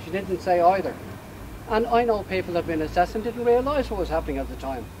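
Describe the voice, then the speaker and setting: A man talks at a very fast pace with big swings in loudness. Background noise is noticeable. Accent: Ulster. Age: 60s. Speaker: campaigner, home help recipient. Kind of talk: protest statement.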